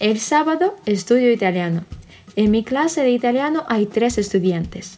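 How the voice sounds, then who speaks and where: With a Russian accent, a woman speaks at a fairly slow pace, her pitch making very wide swings. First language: Russian (speaking Spanish). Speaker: Spanish teacher. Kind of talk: reading aloud.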